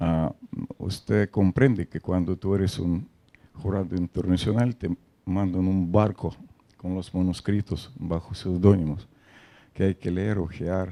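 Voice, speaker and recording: In a Russian accent, a man with a very deep, low pitch and a dark, mellow tone speaks at a fairly slow pace with fairly even intonation and long, frequent pauses, the sound dry and close with no echo. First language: Russian (speaking Spanish). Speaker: poet and translator. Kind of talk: interview. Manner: halting, many fillers.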